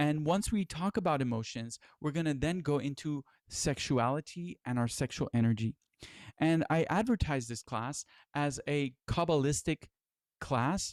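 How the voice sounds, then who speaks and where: A man speaks at a fairly high pitch and a moderate pace, with ordinary pitch variation. The recording is very clean, with a silent background. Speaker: spiritual teacher. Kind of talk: lecture. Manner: radio-style voice.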